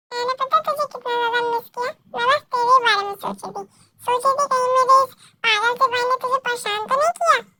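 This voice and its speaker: Over music in the background, a woman puts on a character voice at an extremely high pitch, talking fairly quickly in a dry, close sound with no echo. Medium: audio drama. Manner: playful, outspoken.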